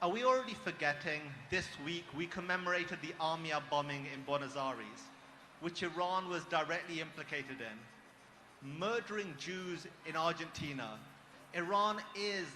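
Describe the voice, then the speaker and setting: Speaking at a moderate pace with a British accent, a man has a bright, sharp tone, a high pitch and ordinary pitch variation. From Britain. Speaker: former extremist turned activist speaker. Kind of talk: speech at a rally. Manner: impassioned.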